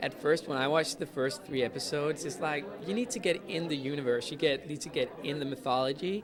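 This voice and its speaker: There is audible room echo and crowd noise in the background. A man talks fairly quickly at a fairly high pitch, with ordinary pitch variation. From Denmark. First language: Danish. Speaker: actor. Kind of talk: interview. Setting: fan convention. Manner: hesitant, many fillers.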